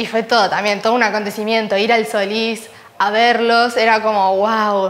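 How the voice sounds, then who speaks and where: A woman talks at a moderate pace. Her intonation is monotone and flat. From Uruguay. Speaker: ballet dancer. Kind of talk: interview. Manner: halting. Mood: warm, smiling, animated. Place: studio. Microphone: lapel.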